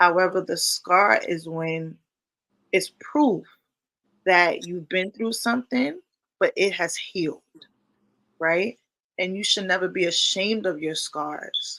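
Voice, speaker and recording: Speaking very slowly with long, frequent pauses, a woman uses a bright, sharp tone at medium pitch with ordinary pitch variation. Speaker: podcast host. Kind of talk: casual interview chat.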